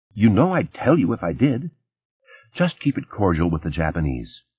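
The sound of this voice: A man puts on a character voice with a fairly low pitch and a husky, rough edge, moving at a moderate pace through very wide pitch swings.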